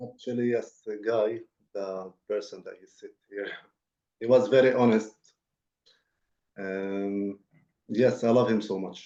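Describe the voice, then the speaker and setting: With an Arabic accent, this voice has a dark, mellow tone and a flat, monotone delivery, moving at a fairly slow pace with long, frequent pauses and big swings in loudness. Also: man, medium pitch for a man. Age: 20s. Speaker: peace program participant. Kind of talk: webinar interview. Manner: halting.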